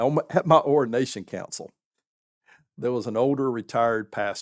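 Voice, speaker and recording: Very clean recording of a man with a Southern US accent, silent background, dry, close sound with no echo, and ordinary pitch variation. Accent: Southern American. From southern United States. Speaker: pastor; military veteran. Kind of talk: podcast interview answer.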